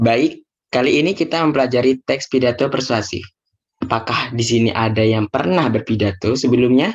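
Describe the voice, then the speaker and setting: A man speaks in a normal speaking voice at medium pitch, with a moderate pace and ordinary pitch variation. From Indonesia, Bondowoso, East Java. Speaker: teacher. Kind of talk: lesson.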